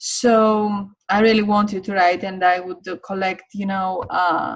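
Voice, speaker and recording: A woman with a non-native accent at a very slow pace, her intonation fairly even. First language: not English. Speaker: online course teacher. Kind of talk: online course lecture. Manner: hesitant, many fillers.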